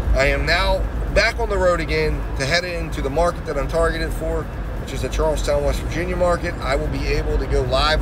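There is noticeable background noise as a man speaks at a fairly quick pace, with a dry sound and no echo. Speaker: delivery driver vlogger. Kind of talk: casual vlog chat. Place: car. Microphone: phone near.

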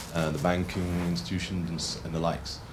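With clear music in the background, a man with a very deep, low pitch speaks at a fairly quick pace. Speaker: audience member, freelance journalist; audience member. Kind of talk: audience question. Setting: stage with audience. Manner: halting. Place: hall. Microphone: handheld.

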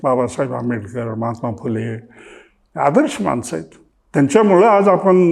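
This man's voice sits at a medium pitch. It rises and falls across a very wide range. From Maharashtra, Solapur district (Pandharpur area). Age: 70s. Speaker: retired cooperative officer. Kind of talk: life-story interview.

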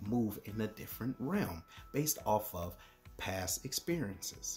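Over faint background music, a man talks at a fairly slow pace in a fairly low pitch. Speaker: motivational speaker, Air Force retiree and author. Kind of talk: motivational speech to camera. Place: home room. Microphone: phone near.

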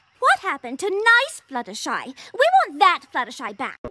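This cartoonish character voice has a bright, sharp tone, very wide pitch swings, and a moderate pace.

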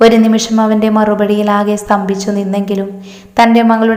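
The speaker reads in an unforced reading voice.

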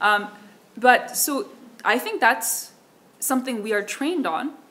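With a Korean accent, a woman speaks at a moderate pace in a bright, sharp tone, using ordinary pitch variation. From South Korea. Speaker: keynote speaker, researcher; keynote speaker. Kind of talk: conference Q&A answer. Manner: hesitant, many fillers. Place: hall. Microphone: podium.

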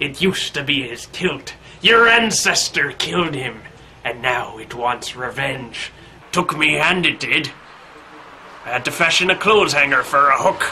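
Against clear background noise, a man uses a put-on character voice at a fairly high pitch and a moderate pace. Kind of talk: comic overacting. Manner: ominous, theatrical warning.

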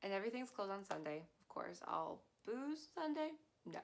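With an American accent, a woman speaks in an animated tone. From Utah, Salt Lake City; Utah. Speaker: YouTuber. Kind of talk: casual vlog monologue. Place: home room. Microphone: phone near.

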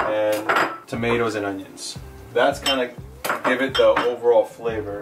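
Music playing behind a man's moderately paced speech. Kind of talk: cooking tutorial. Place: kitchen. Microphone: camera far.

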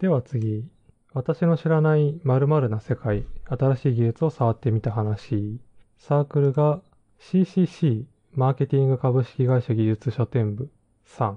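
Fairly slow and somewhat breathy, a man speaks at a medium pitch. His pitch varies in an ordinary way. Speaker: podcast host and web/Android engineer. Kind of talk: solo podcast talk reviewing books.

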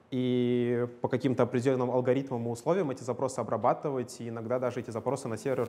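A man speaks in a dark, mellow tone at a fairly quick pace. His intonation stays fairly even. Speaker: lecturer. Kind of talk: lecture. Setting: lecture hall with students. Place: classroom. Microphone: lapel.

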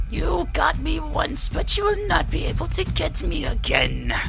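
A man speaks in a put-on character voice at a moderate pace. Loud background noise fills the recording. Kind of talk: casual gaming commentary.

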